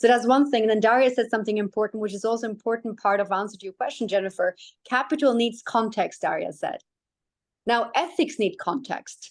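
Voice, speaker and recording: Her pitch is fairly high for a woman, and its variation is ordinary. She speaks with a non-native accent. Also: fairly quick pace, quiet background. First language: not English. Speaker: tech ethics expert, panelist. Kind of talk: panel discussion.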